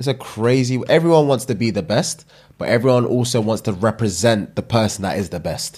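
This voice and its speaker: A man in a London accent, with ordinary pitch variation, against a quiet background. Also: fairly quick pace. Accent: London multicultural English. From UK. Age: 30s. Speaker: comedy podcast co-host. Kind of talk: casual chat. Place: home room. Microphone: studio mic.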